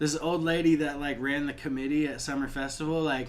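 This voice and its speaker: With audible room echo, a man speaks in a flat monotone with an American accent at a fairly high pitch. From Toledo, Ohio, US Midwest. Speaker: rapper. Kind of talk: casual chat.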